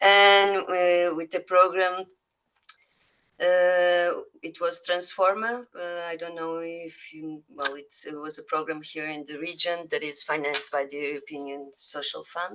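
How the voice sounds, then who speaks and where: A woman's fairly low, bright and sharp voice in a Spanish accent, fairly slow in pace, with ordinary pitch variation and big swings in loudness. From Spain. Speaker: visual artist. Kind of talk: self-introduction. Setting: video call. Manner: hesitant.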